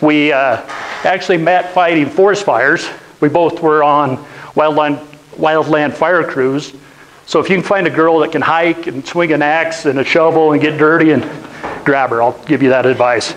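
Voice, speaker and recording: A man with a Utah accent and a fairly high pitch speaks at a moderate pace with fairly even intonation and very even loudness. Light background noise sits behind him. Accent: Western US (Utah). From northeastern Utah (Roosevelt). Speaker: business owner, guest speaker; guest. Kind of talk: lecture. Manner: conversational, interactive with audience. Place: classroom. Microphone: lapel.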